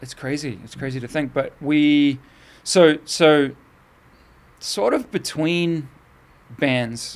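Talking at a very slow pace with long, frequent pauses, a man with a fairly high pitch uses ordinary pitch variation while his loudness swings widely. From northern England, raised in New Zealand from age seven. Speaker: tattoo artist and singer. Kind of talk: casual chat.

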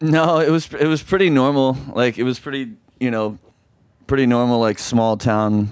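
Here a man with an American accent uses a normal speaking voice at a medium pitch. His pace is moderate, and his pitch varies in an ordinary way. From US South, Oxford, Mississippi. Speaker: rock musician. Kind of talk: casual chat.

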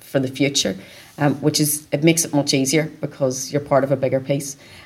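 A woman's very deep, low voice in a Northern Irish accent, with monotone, flat intonation. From Northern Ireland, County Down. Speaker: sales and marketing director. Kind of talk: interview. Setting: event venue.

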